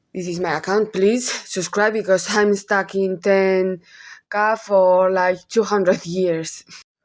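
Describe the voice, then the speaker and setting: Speaking very slowly in a Spanish accent, a woman keeps a medium pitch and monotone, flat intonation on a very clean recording with a silent background. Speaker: gossip YouTuber. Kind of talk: casual commentary vlog. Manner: halting, self-correcting.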